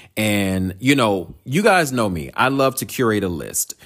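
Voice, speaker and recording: Against music in the background, a man with a fairly low voice talks at a fairly slow pace, his tone animated and his intonation lively. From North Carolina, Durham. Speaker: podcast host. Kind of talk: casual solo monologue.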